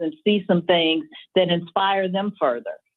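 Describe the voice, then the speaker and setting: A woman speaks in a normal speaking voice. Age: 50s. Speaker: college athletics administrator. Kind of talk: radio interview. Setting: radio broadcast.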